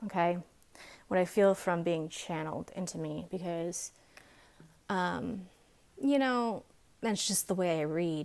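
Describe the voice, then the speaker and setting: On a very clean recording with a silent background, a woman mumbles. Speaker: tarot card reader. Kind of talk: pick-a-card tarot reading. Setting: home video recording with camera lights. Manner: mumbling.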